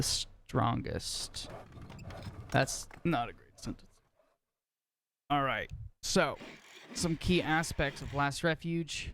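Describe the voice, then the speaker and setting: The speech moves at a very slow pace, marked by long, frequent pauses. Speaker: game shoutcaster. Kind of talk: live esports commentary.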